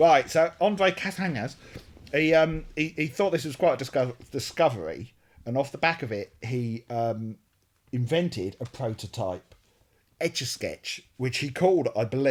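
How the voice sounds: A man with a British accent, fairly high in pitch, at a moderate pace. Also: lively intonation.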